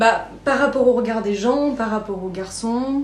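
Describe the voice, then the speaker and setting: There is audible room echo along with noticeable background noise. A woman speaks with ordinary pitch variation. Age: 20s. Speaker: podcast guest. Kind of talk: personal interview testimony. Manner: hesitant, many fillers.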